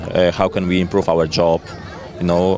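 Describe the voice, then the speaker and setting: Noticeable background noise surrounds a man whose voice is very deep and low. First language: Polish. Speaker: firefighter. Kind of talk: interview. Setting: outdoor competition event. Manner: halting, many hesitations.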